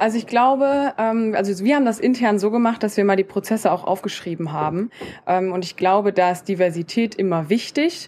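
Here a woman speaks at a fairly quick pace. Her pitch is medium, with ordinary variation. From Germany, Koblenz. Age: 20s. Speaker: podcaster and student from a trades family business. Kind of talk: casual interview chat. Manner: hesitant fillers (ähm, äh).

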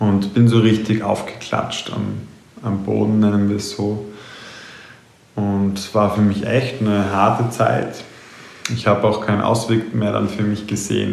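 A man talks at a moderate pace and fairly low pitch in monotone, flat intonation. Noticeable background noise and audible room echo fill the recording. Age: 20s. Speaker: mindfulness and mental trainer. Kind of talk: personal monologue podcast.

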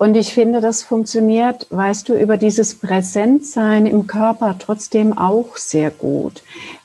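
Fairly even intonation from a woman with a fairly high pitch at a very slow pace. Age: 50s. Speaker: spiritual healer. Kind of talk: casual interview chat. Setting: video call.

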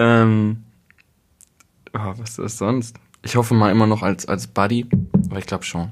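A man's fairly low voice at a moderate pace, fairly even in intonation, with long, frequent pauses. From East Westphalia, Germany. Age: 20s. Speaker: musician. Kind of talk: casual chat. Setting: kitchen table at host's home.

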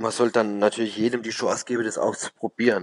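This man speaks with a Baden accent. His pitch sits in the medium range. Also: dry, close sound with no echo. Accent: regional dialect (Baden). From Baden, southwest Germany. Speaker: bartender. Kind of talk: interview.

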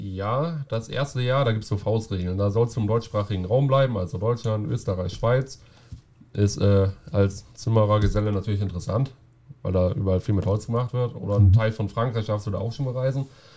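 Somewhat breathy and dark, mellow in tone, a man talks at a fairly quick pace with a fairly low pitch and ordinary pitch variation. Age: 20s. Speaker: carpenter and roofer going on journeyman travels. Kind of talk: casual interview.

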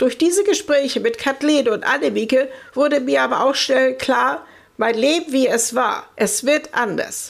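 With very even loudness, a woman speaks at a fairly slow pace, her high pitch carrying lively intonation. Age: 60s. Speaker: patient and self-help group leader, former care nurse. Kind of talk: interview, personal testimony.

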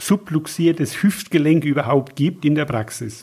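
Fairly high in pitch, a man talks at a fairly slow pace. It is an ordinary speaking voice with fairly even intonation. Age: 60s. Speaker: naturopath. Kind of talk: interview. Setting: at guest's practice/home.

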